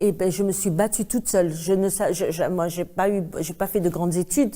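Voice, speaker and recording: In a very clean recording over a silent background, a woman speaks at a medium pitch in a dark, mellow tone with fairly even intonation. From Algeria. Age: 60s. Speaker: activist, mother of a disappeared son. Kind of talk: interview testimony. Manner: emotional, halting.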